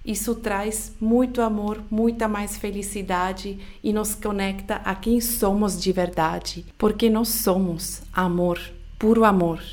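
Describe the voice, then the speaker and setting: Speaking at a very slow pace, a woman keeps her intonation fairly even. Her pitch is medium, and audible room echo surrounds her voice. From Switzerland. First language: not Portuguese (Swiss-born) (speaking Portuguese). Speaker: podcast host, personal growth coach. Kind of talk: motivational solo podcast talk.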